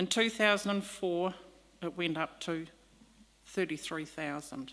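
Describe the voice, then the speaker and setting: This woman's voice sits at a fairly low pitch with ordinary pitch variation. She speaks at a fairly slow pace. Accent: New Zealand. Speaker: leaseholder making a public submission. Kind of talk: public hearing submission. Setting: public hearing with microphone. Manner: soft-spoken. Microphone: microphone too far, quiet.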